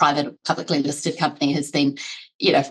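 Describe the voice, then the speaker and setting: A woman speaks at a very fast pace with a New Zealand accent, her pitch very deep and low. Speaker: HR executive. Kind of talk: podcast interview. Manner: conversational, many fillers.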